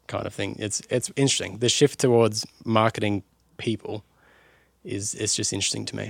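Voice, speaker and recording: A man with a fairly low pitch and an Australian accent at a moderate pace. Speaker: music podcast host. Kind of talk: scripted narration; casual chat.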